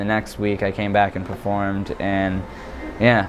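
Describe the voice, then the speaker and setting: Music plays in the background as someone speaks with an American accent. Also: man. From West Virginia, Ohio Valley. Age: 20s. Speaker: stand-up comedian. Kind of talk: casual interview. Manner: hesitant, many fillers.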